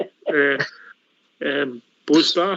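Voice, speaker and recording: A fairly high-pitched man talks in a Scottish accent. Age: 70s. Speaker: radio host. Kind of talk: phone-in show hosting.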